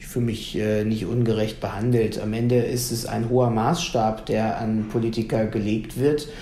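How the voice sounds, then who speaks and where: The voice moves at a moderate pace with fairly even intonation, and room echo can be heard. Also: man, medium pitch for a man. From Lower Saxony, Germany. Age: 30s. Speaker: youth wing politician. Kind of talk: radio interview.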